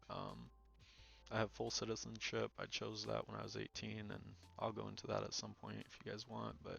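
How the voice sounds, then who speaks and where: A man with an American accent talks at a moderate pace. Music plays in the background. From Ukraine until age ten, then US. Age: 20s. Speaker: podcast host. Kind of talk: casual monologue. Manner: casual, many fillers.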